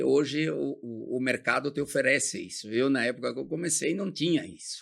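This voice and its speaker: A man speaks at a moderate pace with lively intonation and vocal fry on a very clean recording with a silent background. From southern Brazil, Rio Grande do Sul. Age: 70s. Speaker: company founder. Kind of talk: interview.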